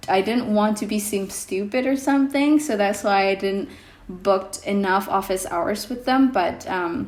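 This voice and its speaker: In an Indonesian accent, a woman talks at a moderate pace. Her pitch is medium with ordinary variation. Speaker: vlogger. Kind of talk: casual vlog talk. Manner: hesitant, many fillers.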